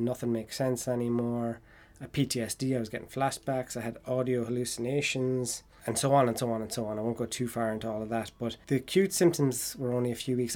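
This man speaks at a very fast pace with an Irish accent. His pitch is medium and his intonation fairly even. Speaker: podcast host and mature student. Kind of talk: casual chat.

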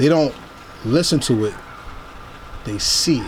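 A man with an American accent talks over noticeable background noise. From New Jersey. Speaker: podcast host. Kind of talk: interview. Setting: in person.

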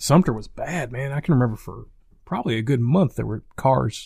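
In a South Carolina accent, a man talks at a fairly quick pace. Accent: Southern US (South Carolina). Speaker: podcast co-host, hunter. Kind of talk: casual chat.

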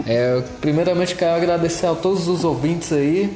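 A high-pitched man at a moderate pace, with noticeable background noise and audible room echo. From São Paulo, then Brasília from age 10. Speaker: podcast co-host. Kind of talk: casual chat.

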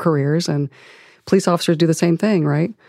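A woman with a Midwestern American accent, very deep, low pitch and dark, mellow tone, very fast pace and fairly even intonation, in a very clean recording with a silent background and a dry, close sound with no echo. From Ohio, US Midwest. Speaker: former FBI agent, civil rights advocate. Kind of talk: interview.

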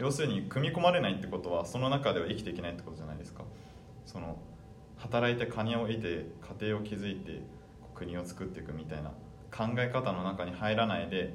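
Amid noticeable background noise and audible room echo, a man speaks in a fairly low pitch with lively intonation. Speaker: podcast guest. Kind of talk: casual interview chat.

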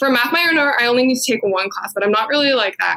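A woman's fairly bright tone carries vocal fry and ordinary pitch variation.

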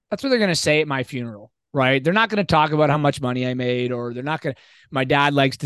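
This man has an ordinary speaking voice, a fairly high pitch and lively intonation. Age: 40s. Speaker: fitness coach and teacher. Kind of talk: casual chat.

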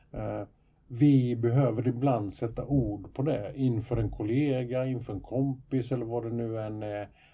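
With a somewhat breathy voice, a man at a medium pitch and a dark, mellow tone speaks at a fairly slow pace with fairly even intonation. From Sweden. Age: 50s. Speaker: podcast co-host, youth counsellor. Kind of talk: casual chat.

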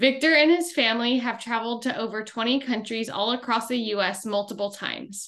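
Using an ordinary speaking voice, a woman talks at a moderate pace, her pitch fairly high and its variation ordinary. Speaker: podcast co-host. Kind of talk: podcast interview.

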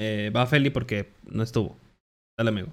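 With a Mexican accent, a man talks at a fairly slow pace. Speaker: podcast host. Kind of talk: casual chat.

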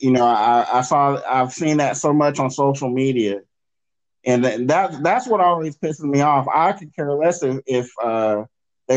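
A man talks with an American accent at a moderate pace. His pitch sits in the medium range and varies in an ordinary way. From US South. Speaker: podcast host. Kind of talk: casual chat. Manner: halting.

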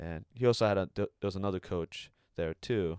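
With a Californian accent, a man talks at a moderate pace in a very deep, low voice, the sound dry and close with no echo. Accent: Californian American. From US, Bay Area, California. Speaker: Olympic fencer. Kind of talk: casual chat.

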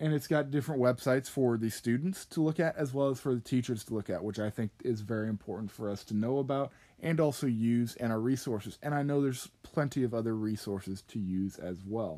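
A man with an American accent speaks in a dark, mellow tone. He leaves hardly any pauses. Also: medium pitch for a man, ordinary pitch variation, fairly quick pace. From Kansas, US. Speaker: agriculture education student. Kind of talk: podcast monologue.

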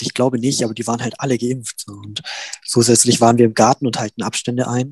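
A man speaks at a very fast pace with a medium pitch. His intonation is monotone and flat, and the sound is dry and close with no echo. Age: young. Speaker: student representative. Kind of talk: panel discussion.

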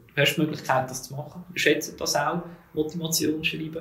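A man speaks in a monotone with flat intonation. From Switzerland, Zug. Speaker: HR manager. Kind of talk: interview.

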